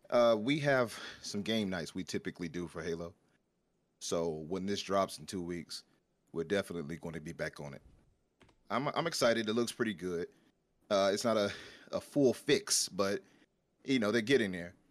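This man has a fairly low pitch and an American accent, speaking at a moderate pace with lively intonation and big swings in loudness. He leaves long, frequent pauses, and the recording is very clean with a silent background. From Chicago. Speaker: gaming podcast guest. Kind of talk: casual chat.

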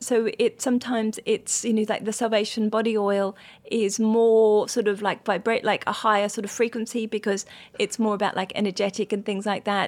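With an Australian accent, a woman speaks fairly quickly at a fairly high pitch. Her tone is calm and her intonation monotone and flat. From rural Australia. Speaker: acupuncturist and skincare founder. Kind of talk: interview.

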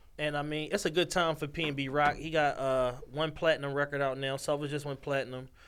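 A man talks very fast in an American accent, with hardly any pauses. His intonation is flat and monotone. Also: fairly high pitch for a man. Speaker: podcast host. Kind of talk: casual chat. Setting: studio. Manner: laughs often.

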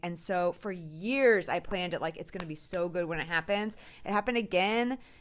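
A woman speaks in a normal speaking voice. Her pitch shows ordinary variation. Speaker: host's high school friend. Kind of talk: casual chat.

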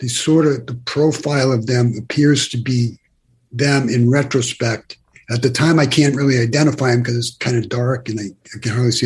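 A man's medium-pitched, somewhat breathy voice at a moderate pace with fairly even intonation. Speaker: near-death experiencer. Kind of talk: interview storytelling. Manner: halting, hesitant.

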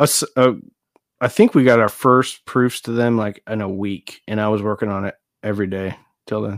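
An unremarkable speaking voice from a man with an American accent, fairly low-pitched, with fairly even intonation at a moderate pace, in a very clean, dry, close recording with a silent background and no echo. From Nebraska, US. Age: 40s. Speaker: audio equipment YouTuber. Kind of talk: casual chat.

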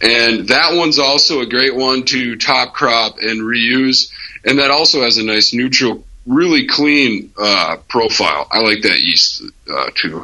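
A man with an American accent speaks at a medium pitch with vocal fry, ordinary pitch variation and very even loudness. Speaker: homebrewer. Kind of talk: interview.

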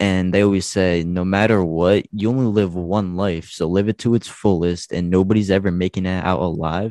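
In a New Jersey accent, a dark, mellow voice keeps a moderate pace with hardly any pauses and fairly even intonation against a quiet background. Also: man, very deep, low pitch for a man. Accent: New Jersey American. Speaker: podcast host, guest. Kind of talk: casual chat.

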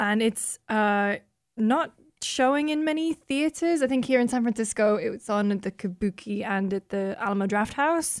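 In a northern English accent, a woman speaks at a moderate pace with lively intonation and a fairly high pitch on a very clean recording with a silent background. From northern England. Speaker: games journalist. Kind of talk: casual chat.

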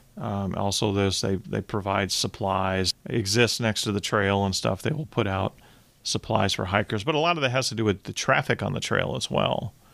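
With an American accent and vocal fry, a man speaks in a fairly low pitch on a very clean recording with a silent background. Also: ordinary pitch variation, moderate pace. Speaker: podcast host. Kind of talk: interview.

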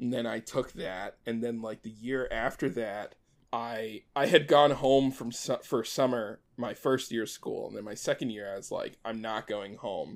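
An ordinary speaking voice from a man with an American accent, medium pitch, fairly even intonation, a moderate pace and hardly any pauses, in a very clean recording with a silent background. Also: big swings in loudness. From US, Maryland. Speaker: animator and showrunner. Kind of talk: casual chat.

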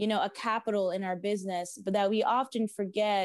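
A woman with a plain, everyday voice speaks at a moderate pace, the sound dry and close with no echo over a quiet background. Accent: American. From South Florida. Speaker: small business owner. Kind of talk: interview.

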